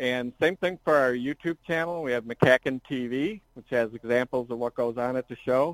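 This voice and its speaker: A man with an ordinary speaking voice talks at a medium pitch and a moderate pace, with hardly any pauses, ordinary pitch variation and big swings in loudness. The sound is dry and close with no echo, in a very clean recording with a silent background. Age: 60s. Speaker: car show owner. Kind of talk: casual interview.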